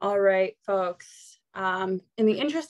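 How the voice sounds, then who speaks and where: Solo female voice over a quiet background. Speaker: webinar host. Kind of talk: webinar introduction and housekeeping. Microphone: video call.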